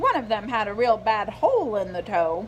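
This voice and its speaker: A female-sounding voice puts on a character at a fairly high pitch for a woman. Clear background noise runs underneath. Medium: read story. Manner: homespun, folksy.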